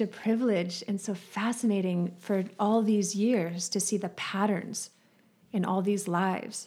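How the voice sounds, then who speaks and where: A woman with an ordinary speaking voice at a fairly slow pace. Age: 40s. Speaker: psychic. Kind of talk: casual chat.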